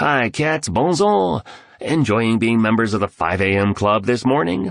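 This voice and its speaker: A man's put-on character voice, raspy and medium-pitched, with lively intonation, very even loudness and a moderate pace. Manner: cheery, salesy greeting.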